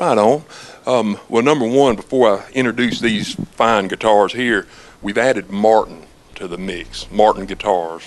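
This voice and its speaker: Speech in an American accent moves at a fairly slow pace, and noticeable background noise runs underneath. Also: man, fairly low pitch for a man, ordinary pitch variation, big swings in loudness. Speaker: music store staff. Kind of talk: infomercial interview answer. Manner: casual, friendly.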